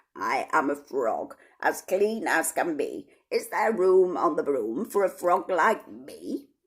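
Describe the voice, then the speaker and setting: A put-on character voice, croaky and middle in pitch, at a fairly slow pace. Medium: read story.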